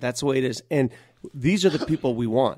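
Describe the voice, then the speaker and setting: A man with a normal speaking voice and an American accent talks at a moderate pace and a fairly high pitch, in a very clean recording with a silent background and a dry, close sound with no echo. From US, North Denver, Colorado. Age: 50s. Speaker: sports radio host. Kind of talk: casual interview.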